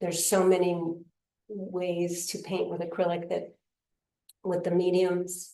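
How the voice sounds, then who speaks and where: Fairly slow speech from a woman with a fairly low pitch, long, frequent pauses and audible room echo. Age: 60s. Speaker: painter. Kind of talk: interview. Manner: halting.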